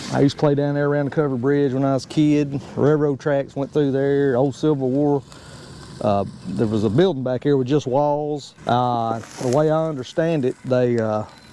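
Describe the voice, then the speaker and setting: Someone with a Southern US accent speaks at a moderate pace with fairly even intonation over noticeable background noise. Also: man, fairly high pitch for a man. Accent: Southern country accent, people remark on it. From US South, Georgia (Marietta/Smyrna, near Atlanta). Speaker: YouTuber, fabricator. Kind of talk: casual cooking vlog chat.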